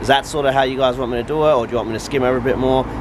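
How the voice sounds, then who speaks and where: Noticeable background noise sits behind a man speaking very fast in an Australian accent. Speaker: car builder YouTuber. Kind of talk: workshop vlog tutorial.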